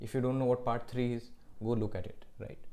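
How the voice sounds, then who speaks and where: A man speaks with a dark, mellow tone. The room echo is audible. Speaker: law lecturer. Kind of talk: lecture.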